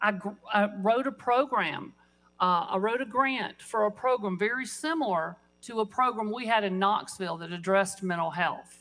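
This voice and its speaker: A woman talks at a moderate pace with a medium pitch and ordinary pitch variation, an ordinary speaking voice. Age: 60s. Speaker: state legislator. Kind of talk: floor speech. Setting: legislative chamber.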